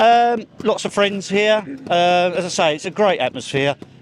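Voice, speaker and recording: A man's fairly slow speech, with ordinary pitch variation, comes through noticeable background noise. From England, Essex. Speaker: motorsport mechanic and trials rider. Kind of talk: casual interview. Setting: outdoors.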